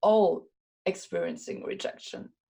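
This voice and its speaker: A woman speaks with a Luxembourgish accent. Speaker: WordPress community organizer and speaker. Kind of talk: podcast interview. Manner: animated; halting, with frequent repetitions.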